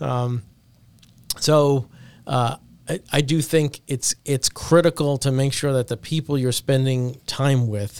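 A man with an unremarkable speaking voice talks at a fairly slow pace with fairly even intonation. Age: 40s. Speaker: agency founder. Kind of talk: casual chat. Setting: office.

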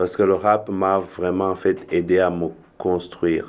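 At a very slow pace, a man speaks in a very deep, low pitch with monotone, flat intonation. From Rwanda. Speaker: musician and multi-disciplinary artist. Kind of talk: casual interview chat.

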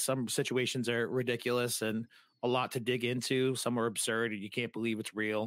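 A man with an American accent and a plain, everyday voice talks fairly quickly at a medium pitch, the sound dry and close with no echo in a very clean recording with a silent background. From New England, US (Massachusetts / Rhode Island). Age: 30s. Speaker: podcaster. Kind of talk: casual interview chat.

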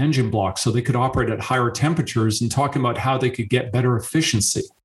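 A man delivers his words at a very fast pace in a somewhat breathy voice. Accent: Canadian. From Canada. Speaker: engineering professor. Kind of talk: podcast interview.

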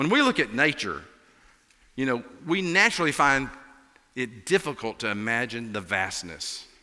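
With an Appalachian accent, a man talks at a moderate pace in a bright, sharp tone and lively intonation. The recording is very clean, with a silent background. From Appalachia, US. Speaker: pastor filling in. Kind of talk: sermon. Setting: church.

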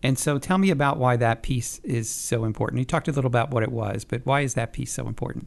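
Talking at a very fast pace with hardly any pauses, a man with an American accent shows vocal fry, a medium pitch and ordinary pitch variation. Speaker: communications director and interviewer. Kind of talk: interview. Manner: casual, conversational.

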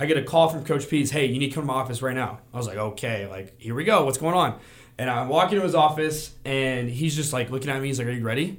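A man with an American accent talks at a very fast pace. His pitch is medium, with ordinary variation. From Arizona. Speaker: college student and former football player. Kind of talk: casual sports chat.

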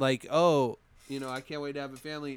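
The man speaks at a fairly quick pace and a fairly high pitch. His recording is very clean, with a silent background. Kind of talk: pep talk. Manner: heartfelt, earnest, fired-up.

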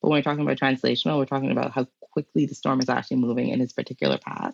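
This woman has a very deep, low pitch with vocal fry. The sound is dry and close, with no echo. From Bahamas, Nassau. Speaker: climate scientist and educator. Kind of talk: interview conversation.

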